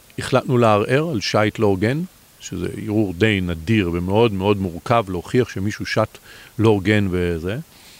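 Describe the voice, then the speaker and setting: A man with a fairly low voice speaks at a moderate pace, his pitch varying in an ordinary way. The sound is dry and close, with no echo. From Israel, Bat Yam. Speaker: competitive sailor. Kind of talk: interview. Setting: outdoors.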